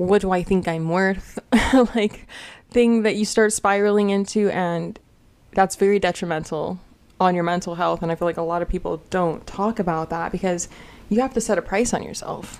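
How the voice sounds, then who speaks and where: Fairly even in intonation, a woman's speech keeps a moderate pace. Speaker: commentary vlogger. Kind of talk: casual commentary chat. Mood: candid, sometimes laughing. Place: home room. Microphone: studio mic.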